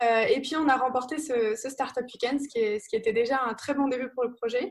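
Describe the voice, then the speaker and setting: A woman's high-pitched voice at a moderate pace, with ordinary pitch variation, on a very clean recording against a silent background. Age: 20s. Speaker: student entrepreneur, startup founder. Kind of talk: live talk presenting a project.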